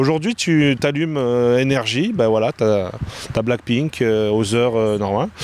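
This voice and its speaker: A man talks in an ordinary speaking voice at a fairly slow pace, with hardly any pauses. His pitch is medium with ordinary variation, and his loudness stays very even. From France. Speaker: nightlife event organizer. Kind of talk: casual interview.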